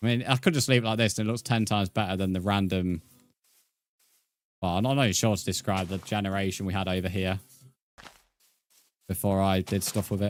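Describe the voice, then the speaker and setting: A man with a British accent talks at a fairly quick pace and fairly low pitch, with long, frequent pauses. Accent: British, often mistaken for Australian. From England. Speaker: gaming streamer. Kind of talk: live stream chat while gaming. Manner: casual, halting with fillers.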